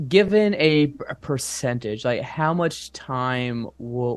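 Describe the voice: A man with a medium pitch speaks at a slow pace, his intonation lively.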